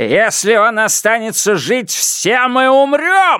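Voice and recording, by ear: Doing a put-on character voice, a man speaks slowly at an extremely high pitch with big pitch swings, his tone clear, smooth, bright and sharp, on a very clean recording with a silent background.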